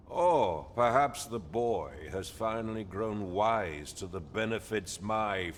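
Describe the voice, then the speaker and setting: A man does a put-on character voice at medium pitch, with lively intonation and a fairly slow pace. Clear background noise is present. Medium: video game. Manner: haughty, contemptuous.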